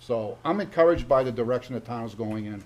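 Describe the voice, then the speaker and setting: With a New England accent, a man talks at a fairly quick pace. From Massachusetts, Oxford. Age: 70s. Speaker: town board member. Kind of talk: public meeting remarks. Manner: animated.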